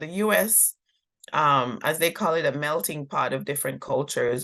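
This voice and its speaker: A woman's bright, sharp tone with vocal fry, lively intonation and a moderate pace. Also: quiet background. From Jamaica. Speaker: former diplomat. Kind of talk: interview answer.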